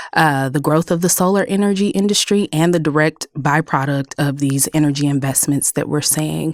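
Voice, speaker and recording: With an American accent, a woman speaks at a moderate pace in a very deep, low pitch, with ordinary pitch variation and very even loudness. She takes hardly any pauses, and the sound is dry and close, with no echo. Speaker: clean energy policy director. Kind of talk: podcast interview.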